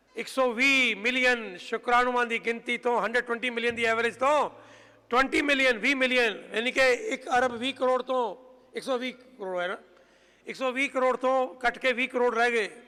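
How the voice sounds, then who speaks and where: A man's raised, projected voice, extremely high in pitch, with flat, monotone intonation. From Punjab, India. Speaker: head of a farming and environment group. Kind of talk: speech to an audience. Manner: impassioned, repetitive.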